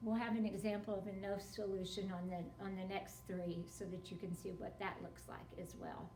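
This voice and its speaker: Noticeable background noise and audible room echo surround a woman's voice. She talks at a medium pitch and a moderate pace with fairly even intonation. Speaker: math teacher. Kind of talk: tutorial.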